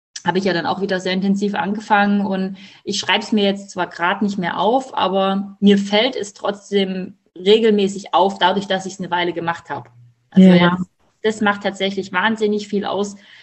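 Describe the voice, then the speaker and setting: This woman has a medium pitch and a somewhat breathy voice. She speaks at a fairly quick pace with fairly even intonation. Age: 30s. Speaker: mother of twins, coaching client. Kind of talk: casual interview.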